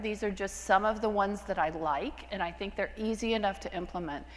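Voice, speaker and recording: Audible room echo surrounds a woman speaking at medium pitch and a fairly quick pace with ordinary pitch variation. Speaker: physician lecturer. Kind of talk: lecture. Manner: fast; casual, with fillers.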